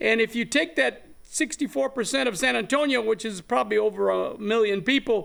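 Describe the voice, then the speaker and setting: This man talks fairly quickly in a South Texas accent, his pitch high. His intonation is lively. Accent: South Texas Mexican-American English. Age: 70s. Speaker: activist and land grant researcher. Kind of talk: interview.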